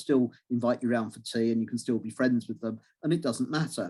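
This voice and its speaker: With an English accent, a man speaks fairly quickly in a dark, mellow tone at a medium pitch with ordinary pitch variation. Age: 60s. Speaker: astrology lecturer and author. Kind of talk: interview. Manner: halting.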